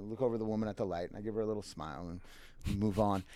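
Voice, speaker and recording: A man talks at a very fast pace. He speaks with an American accent. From Minnesota. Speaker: restaurant manager. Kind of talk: casual interview storytelling.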